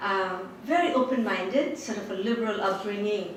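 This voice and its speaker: A woman speaks with ordinary pitch variation. Audible room echo and noticeable background noise surround her. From Bangladesh. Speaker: professor. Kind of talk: personal talk to an audience.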